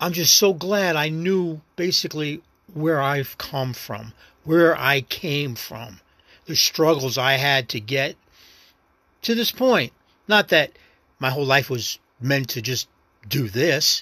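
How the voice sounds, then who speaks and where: In a very clean recording with a silent background, a man with a New York accent and a fairly high pitch speaks very slowly with lively intonation, a bright, sharp tone, and long, frequent pauses. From New York City. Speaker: actor and first-time podcaster. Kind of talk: casual solo monologue. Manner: rambling, reflective, halting.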